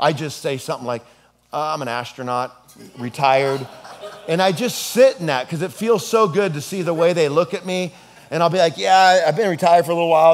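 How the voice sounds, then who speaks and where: The man's pitch shows ordinary variation. He talks at a fairly quick pace. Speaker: pastor. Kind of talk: sermon. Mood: humorous storytelling. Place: hall.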